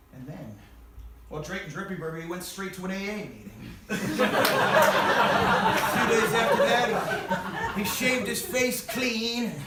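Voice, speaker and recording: A man's energetic, high-pitched voice at a moderate pace, with big swings in loudness, ordinary pitch variation and noticeable background noise. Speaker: storyteller. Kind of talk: live stage storytelling. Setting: live theater audience. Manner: raucous, energetic.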